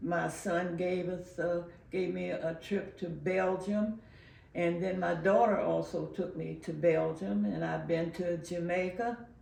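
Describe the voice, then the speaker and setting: A woman at a fairly slow pace amid audible room echo. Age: 90s. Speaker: community elder interviewee. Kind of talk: oral history interview. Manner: halting, many filler pauses.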